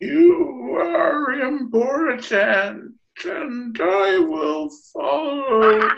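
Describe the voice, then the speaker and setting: In a put-on character voice, fairly high and whiny, the speaker draws out words at a very slow pace. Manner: eerie, ghostly.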